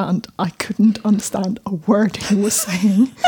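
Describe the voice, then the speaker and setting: A woman with a southern Swedish accent speaks in a dark, mellow tone with vocal fry. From southern Sweden. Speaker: journalist. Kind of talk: casual chat.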